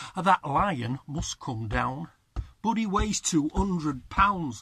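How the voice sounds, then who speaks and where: Very slowly, a man speaks with lively intonation. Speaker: poet. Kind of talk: poetry reading. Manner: rhythmic.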